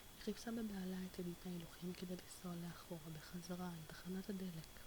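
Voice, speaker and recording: The speaker is soft-spoken and talks at a moderate pace. Noticeable background noise runs underneath. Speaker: ASMR video creator. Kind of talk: reading a novel aloud in Hebrew.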